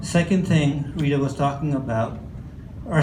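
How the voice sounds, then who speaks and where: A fairly high-pitched man with an American accent at a moderate pace and fairly even intonation, amid audible room echo and noticeable background noise. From Canada, Newfoundland. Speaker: healthcare AI company presenter. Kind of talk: conference presentation.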